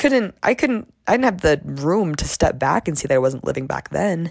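A woman's animated tone edged with vocal fry. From Michigan. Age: 20s. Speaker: college student podcast host. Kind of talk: casual monologue.

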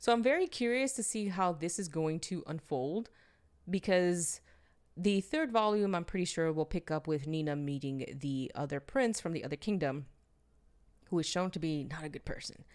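Her fairly low voice moves with lively intonation at a moderate pace, and the woman is recorded very cleanly against a silent background. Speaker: solo podcast host reviewing manga. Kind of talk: solo review monologue. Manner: stumbling over words at times; chatty, conversational.

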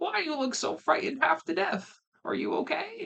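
A man's put-on character voice at an extremely high pitch, with very wide pitch swings. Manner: gentle.

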